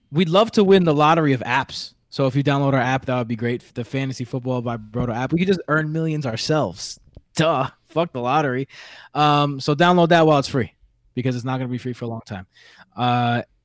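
A man with a New York accent at a medium pitch and fairly quick pace, ordinary pitch variation, in a very clean recording with a silent background. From New York City. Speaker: podcast host.

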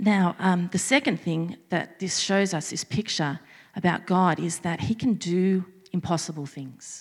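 Speaking in an Australian accent, a woman uses a fairly low pitch with ordinary variation. Her pace is fairly slow. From Australia, Sydney. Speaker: preacher. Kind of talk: sermon.

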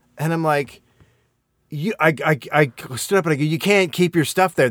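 With vocal fry and ordinary pitch variation, a man speaks at a fairly high pitch in a very clean recording with a silent background. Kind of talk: angry rant. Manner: animated, indignant, interrupting himself with cursing.

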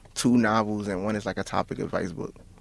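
A fast-talking man with a fairly low pitch, fairly even intonation and vocal fry.

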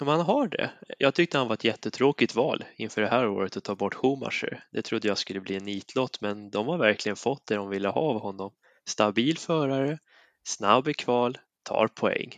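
Here is an ordinary speaking voice, a man's at medium pitch with ordinary pitch variation and a moderate pace. The sound is dry and close with no echo, over a quiet background. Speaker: motorsport podcast panelist. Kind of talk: casual chat. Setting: recording from his kitchen.

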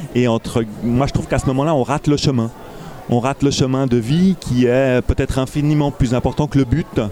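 Noticeable background noise sits behind the speaker, a man. His pitch varies in an ordinary way. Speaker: festival organizer. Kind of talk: casual interview. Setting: festival with crowd noise.

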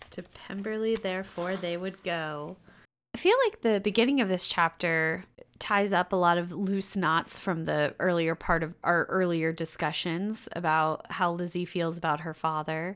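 A plain, everyday voice speaks at a fairly slow pace with fairly even intonation in a very clean recording with a silent background. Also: woman, fairly low pitch for a woman. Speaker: podcast co-host and chapter reader. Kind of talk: casual chat, retelling the plot in slangy modern paraphrase. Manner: relaxed, jokey, laughs often.

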